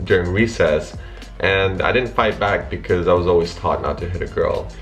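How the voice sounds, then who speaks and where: Someone with an American accent talks at a very fast pace amid audible room echo and music in the background. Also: man. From Russia, raised in US from childhood. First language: Russian. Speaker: YouTuber. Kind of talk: casual vlog talk.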